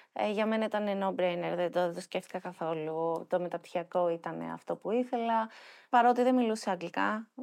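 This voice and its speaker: A woman has a plain, everyday voice at a medium pitch, with ordinary pitch variation and a moderate pace. The recording is very clean, with a silent background. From Athens, Greece. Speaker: nonprofit founder. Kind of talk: interview.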